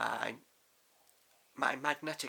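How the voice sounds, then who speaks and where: A man speaks with a British accent. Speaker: crossdressing vlogger. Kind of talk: casual vlog talk. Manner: loud; trying to sound feminine. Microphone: far from the mic.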